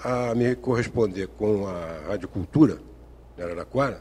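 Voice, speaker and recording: A man speaks in a dark, mellow tone at a fairly slow pace. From Brazil, Rio de Janeiro. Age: 60s. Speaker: retired engineer and writer, football fan. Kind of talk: TV interview.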